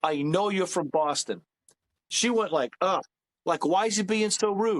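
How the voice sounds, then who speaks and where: In a New York accent, a man speaks at a fairly slow pace with a high pitch and ordinary pitch variation. His loudness stays very even, and the sound is dry and close with no echo. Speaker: comedian. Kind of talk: casual chat.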